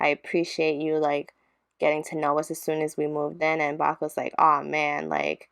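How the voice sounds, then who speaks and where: Against a quiet background, a woman speaks at a moderate pace in a very deep, low pitch with monotone, flat intonation. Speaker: gaming YouTuber. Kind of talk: let's play narration.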